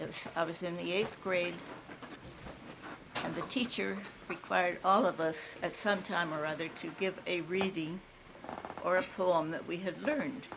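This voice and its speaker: A woman with an American accent and a fairly low pitch, ordinary pitch variation, a moderate pace broken by long, frequent pauses, and noticeable background noise. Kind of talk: casual reminiscence.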